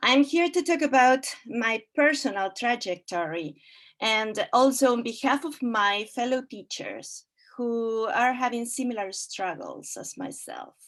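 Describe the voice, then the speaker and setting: A woman's high voice with a Spanish accent, lively intonation, big swings in loudness and a fairly slow pace. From Argentina. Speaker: Spanish teacher. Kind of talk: prepared speech. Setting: video call.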